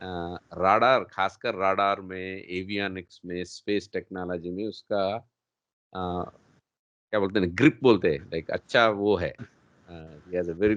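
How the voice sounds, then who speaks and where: A man's very deep, low voice with a non-native accent and fairly even intonation. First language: not Hindi (speaking Hindi). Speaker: show host. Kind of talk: interview. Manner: hesitant, mixing Hindi and English.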